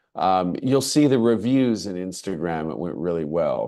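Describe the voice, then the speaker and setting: At a moderate pace, a man with an American accent speaks in a dark, mellow tone with very wide pitch swings over a quiet background. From United States. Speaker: English language lecturer and teacher. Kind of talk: webinar presentation. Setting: video call. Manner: halting, with fillers.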